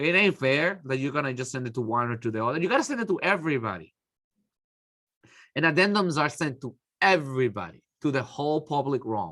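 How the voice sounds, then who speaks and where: Over a silent background in a very clean recording, a man speaks at a fairly quick pace with a fairly high pitch, a bright, sharp tone and lively intonation. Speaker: architecture instructor. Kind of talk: lecture. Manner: fast; casual, conversational.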